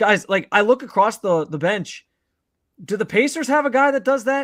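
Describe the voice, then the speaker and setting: Loud and animated, this man talks at a moderate pace in a high pitch with lively intonation, on a very clean recording over a silent background. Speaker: sports podcast host. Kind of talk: casual chat.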